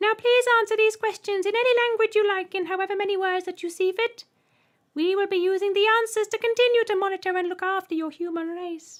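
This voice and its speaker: A woman puts on a squeaky, shrill character voice at an extremely high pitch. She rattles along at a very fast pace. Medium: read story. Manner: polite, cheery.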